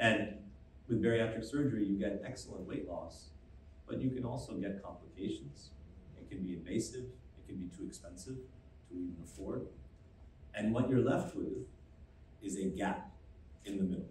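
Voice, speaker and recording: Light background noise and audible room echo surround a man who talks at a moderate pace and a fairly low pitch with very wide pitch swings. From US. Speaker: medtech company founder and CEO. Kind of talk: press conference presentation. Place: hall.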